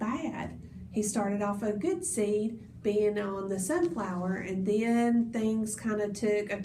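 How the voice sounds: The voice reads in a natural manner. Its intonation is fairly flat and even.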